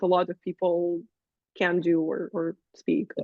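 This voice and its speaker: A woman is speaking. She has a non-native accent. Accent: foreign. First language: Russian. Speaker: wrestling commentator and manager. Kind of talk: interview.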